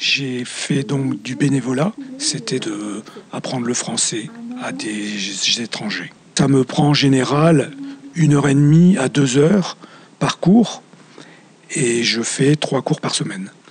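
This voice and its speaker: The speech moves at a very slow pace with long, frequent pauses. Noticeable background noise runs underneath. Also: man, fairly high pitch for a man, ordinary pitch variation. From northern France, Lille. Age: 60s. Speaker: retired volunteer French teacher. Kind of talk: testimony.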